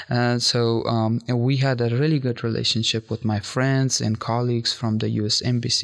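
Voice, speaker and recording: Medium in pitch, a man speaks at a moderate pace with monotone, flat intonation and very even loudness. Noticeable background noise is present. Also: hardly any pauses. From Afghanistan. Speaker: former presidential press coordinator and refugee. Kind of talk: casual interview. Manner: halting, with fillers.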